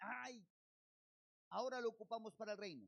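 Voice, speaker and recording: Recorded dry and close with no echo, a man speaks at a high pitch with ordinary pitch variation. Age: 50s. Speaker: pastor. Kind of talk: sermon.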